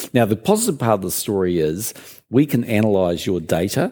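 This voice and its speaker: With a New Zealand accent, a man speaks fairly quickly in a dark, mellow tone. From New Zealand, Christchurch. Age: 60s. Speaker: business leader. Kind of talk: interview on stage.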